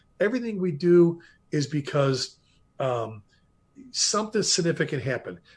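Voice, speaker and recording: Over a quiet background, a man with a fairly high pitch talks at a moderate pace with lively intonation and long, frequent pauses. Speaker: retired fire chief. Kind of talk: interview.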